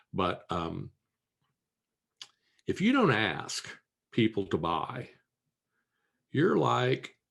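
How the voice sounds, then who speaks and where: A man with a Midwestern American accent speaks at a very slow pace, his voice carrying vocal fry. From Kansas, US Midwest. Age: 60s. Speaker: business coach and entrepreneur. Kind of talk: interview.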